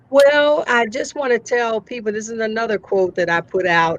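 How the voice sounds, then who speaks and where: Lively intonation marks a woman speaking in a Southern US accent. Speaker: entrepreneur, speaker and author. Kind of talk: interview.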